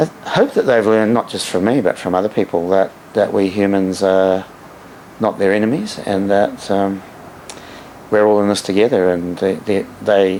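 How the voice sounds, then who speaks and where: Against noticeable background noise, someone with an Australian accent speaks with fairly even intonation and long, frequent pauses. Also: man, fairly low pitch for a man, moderate pace. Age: 60s. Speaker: dolphin researcher. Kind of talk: interview. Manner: halting.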